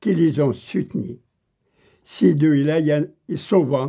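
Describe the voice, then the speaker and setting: A man with an Algerian accent talks at a very slow pace, his fairly high pitch carrying lively intonation. His tone is dark and mellow, with vocal fry. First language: Kabyle (speaking French). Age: old. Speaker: political video commentator. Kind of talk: angry monologue.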